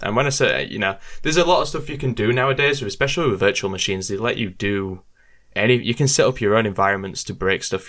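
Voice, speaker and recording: In a very clean recording with a silent background, a man speaks very fast with an English accent. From UK. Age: 20s. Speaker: YouTuber. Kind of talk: casual chat.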